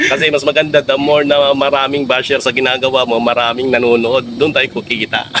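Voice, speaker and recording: A man with a medium pitch talks very fast, with hardly any pauses and a monotone, flat delivery. His loudness stays very even, and there is noticeable background noise. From Visayas, Philippines. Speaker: vlogger and comedian. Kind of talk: casual chat. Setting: home studio.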